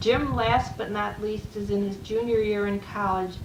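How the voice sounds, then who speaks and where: A woman's medium-pitched voice with an American accent, monotone and flat in intonation, amid noticeable background noise and audible room echo. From US Midwest, Chicago. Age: 70s. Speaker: retired waitress and dining room supervisor. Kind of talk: personal memoir recording.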